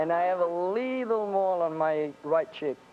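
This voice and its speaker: Lively intonation carries the voice over music in the background. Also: man. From Italy. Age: young. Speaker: dating show contestant. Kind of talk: game show banter.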